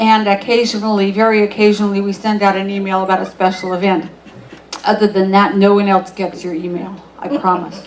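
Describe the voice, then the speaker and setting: Speaking at a fairly quick pace with audible room echo, a woman keeps her medium pitch in a monotone, flat intonation. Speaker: pastor. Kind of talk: church service welcome and announcements. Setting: church. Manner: casual, halting.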